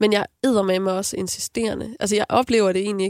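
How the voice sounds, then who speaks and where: A woman at a medium pitch in an ordinary speaking voice, with fairly even intonation and a dry, close sound with no echo. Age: 30s. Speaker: singer. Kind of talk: casual chat.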